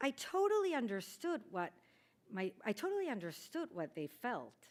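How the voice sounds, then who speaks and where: A woman in a Peruvian accent speaks with very wide pitch swings. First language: Spanish. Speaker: Spanish teacher. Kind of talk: speech. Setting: chapel ceremony.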